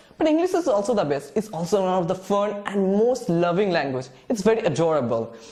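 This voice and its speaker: Amid noticeable background noise and audible room echo, a man speaks at a fairly quick pace in a high pitch, with very wide pitch swings and very even loudness. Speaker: English teacher. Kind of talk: lecture. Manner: halting.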